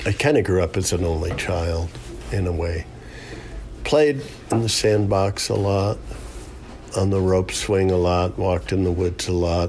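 A man's very deep, low voice with an American accent and ordinary pitch variation, set against noticeable background noise. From upstate New York. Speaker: boat builder and river guide. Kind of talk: casual interview. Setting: kitchen at home.

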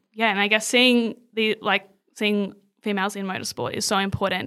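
Her tone bright and sharp, a woman speaks at a medium pitch and a moderate pace with fairly even intonation on a very clean recording with a silent background. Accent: Australian. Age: 20s. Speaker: social media coordinator. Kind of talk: interview.

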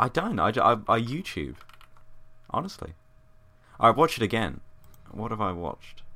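A man talks at a moderate pace with a medium pitch and a bright, sharp tone, plus vocal fry. His speech has long, frequent pauses. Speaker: film podcast co-host. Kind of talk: casual chat.

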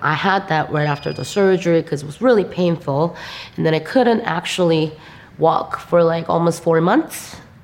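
Over noticeable background noise, a woman speaks with a Korean accent at a moderate pace. Her pitch is fairly low, with ordinary variation. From South Korea. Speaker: visual artist. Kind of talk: interview. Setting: gallery.

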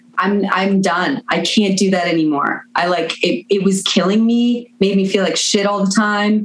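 Amid noticeable background noise, a woman speaks at a fairly slow pace in a medium pitch with ordinary pitch variation. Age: 30s. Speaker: musician. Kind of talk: casual chat.

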